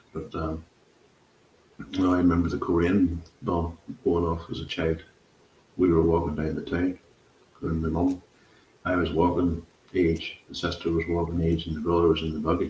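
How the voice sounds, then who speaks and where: A man with a Northern Irish accent speaks at a very deep, low pitch and a moderate pace. His intonation is monotone and flat, with long, frequent pauses. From Northern Ireland. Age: 50s. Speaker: podcast host. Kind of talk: casual chat.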